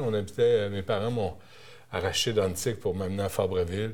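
Fairly low male voice in a Quebec accent. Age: 50s. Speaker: TV and radio journalist. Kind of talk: interview.

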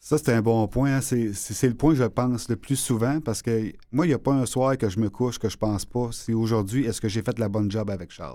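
Here a man speaks at medium pitch with ordinary pitch variation. His pace is fairly quick, with hardly any pauses. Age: 50s. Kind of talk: interview. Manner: halting.

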